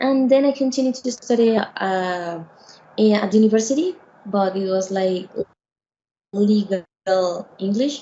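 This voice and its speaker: A woman with a Spanish accent speaks at a fairly slow pace with long, frequent pauses, her somewhat breathy voice fairly high in pitch with ordinary pitch variation. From Venezuela. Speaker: lawyer. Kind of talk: casual chat. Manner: halting.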